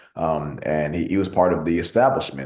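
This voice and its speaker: Fairly quick male speech with audible room echo. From Texas, Arlington (moved from Nigeria at two). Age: 20s. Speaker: city council member. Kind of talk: speech at an online meeting.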